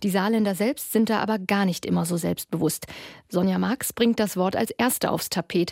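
A woman speaks at a moderate pace in an unremarkable speaking voice, medium in pitch with fairly even intonation. Her loudness stays very even, and the sound is dry and close with no echo. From Ruhr area, Essen. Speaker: radio reporter. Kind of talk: radio feature narration.

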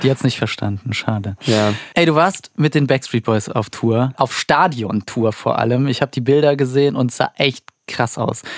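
A man with a normal speaking voice talks at a moderate pace and medium pitch, keeping very even loudness in a dry, close sound with no echo. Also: ordinary pitch variation. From Germany, Turkish father. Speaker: radio host. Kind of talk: casual chat.

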